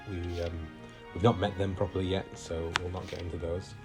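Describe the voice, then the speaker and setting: Music plays in the background as a man talks at a moderate pace. His voice is very deep and low. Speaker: video game let's play host. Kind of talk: casual gameplay commentary. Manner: hesitant, many fillers.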